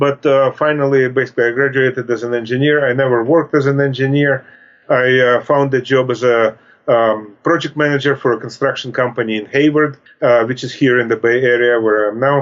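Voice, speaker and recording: A man's medium-pitched voice in a Russian accent, fairly quick in pace, with monotone, flat intonation. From Russia (Soviet Union). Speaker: author. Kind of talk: interview. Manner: halting.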